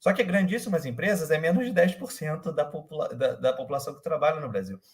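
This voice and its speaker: Fairly quick and somewhat breathy, the voice moves through very wide pitch swings. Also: man. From Rio de Janeiro, Brazil. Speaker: startup manager. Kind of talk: interview. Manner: halting, many fillers.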